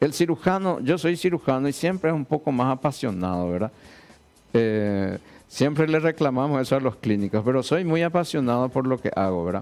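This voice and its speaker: The pace is moderate. This man's pitch leaps up and down across a very wide range. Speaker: surgeon, director of transplant institute. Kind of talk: TV interview; interview answer. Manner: hesitant, repeats words. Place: studio. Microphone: headset.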